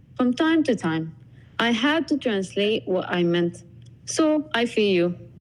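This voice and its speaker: A woman with an Arabic accent speaks at a medium pitch and a fairly slow pace. Her pitch swings very widely. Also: very even loudness. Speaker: podcast guest. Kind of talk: scripted conversation.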